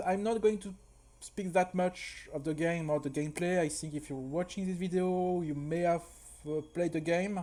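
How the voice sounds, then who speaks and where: A man speaks in a French accent with a high pitch. His tone is dark and mellow. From France. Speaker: speedrunner. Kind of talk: tutorial. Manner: halting, frequent repetitions.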